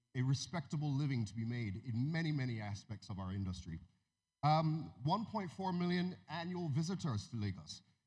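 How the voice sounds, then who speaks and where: A somewhat breathy voice with very wide swings in pitch. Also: man, medium pitch for a man, moderate pace. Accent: American. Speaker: music media executive. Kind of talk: keynote speech. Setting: stage with audience. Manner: halting, many fillers.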